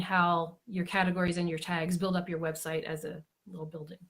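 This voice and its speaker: A woman's somewhat breathy, fairly low-pitched voice in a monotone, flat intonation. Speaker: blogging coach. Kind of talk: live-stream tutorial. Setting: Facebook Live broadcast.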